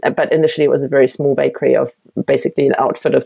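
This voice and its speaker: This is a woman speaking. She has a German accent. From Germany, Berlin. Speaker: baker and bakery owner. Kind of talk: interview.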